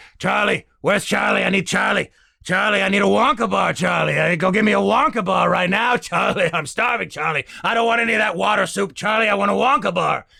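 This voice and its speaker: Doing a put-on character voice, a man talks at a fairly quick pace in a high, raspy tone at very even loudness. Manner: whining, demanding.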